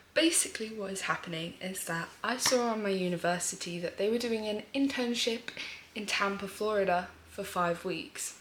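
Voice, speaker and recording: A woman speaks with a British accent at a medium pitch and a moderate pace. Her pitch varies in an ordinary way, and there is noticeable background noise. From UK. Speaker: vlogger. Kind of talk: casual vlog chat. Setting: at home, early morning. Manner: animated.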